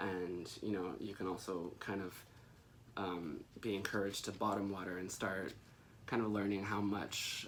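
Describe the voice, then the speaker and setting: Soft-spoken and fairly low-pitched, a man talks in a monotone, flat intonation with audible room echo. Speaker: plant care youtuber. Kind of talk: casual tutorial. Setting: at home. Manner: hesitant, many fillers.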